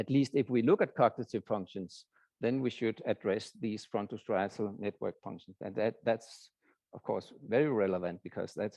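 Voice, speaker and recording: A man with a Danish accent and a fairly low pitch speaks at a moderate pace in a dark, mellow tone with ordinary pitch variation, the sound dry and close with no echo over a quiet background. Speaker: professor. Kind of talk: lecture. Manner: halting.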